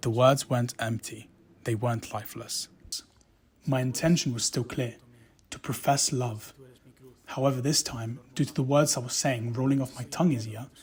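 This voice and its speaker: A man with a medium-pitched, somewhat breathy voice speaks at a moderate pace with fairly even intonation and long, frequent pauses. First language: Spanish. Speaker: actor, drama student. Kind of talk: narrated academic reflection.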